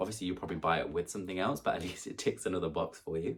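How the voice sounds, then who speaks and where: A man with a British accent speaks in a very deep, low pitch. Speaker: YouTuber. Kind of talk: vlog gift guide. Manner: fast; casual, chatty.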